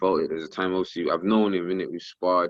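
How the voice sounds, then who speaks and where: This man speaks with a South London accent. His pitch is very deep and low. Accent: South London, multicultural London English. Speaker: professional boxer and rapper. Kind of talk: casual interview. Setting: phone call. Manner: loud, energetic.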